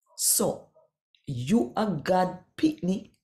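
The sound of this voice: A woman speaks at a very slow pace with a fairly low pitch and big pitch swings. Her tone is dark and mellow.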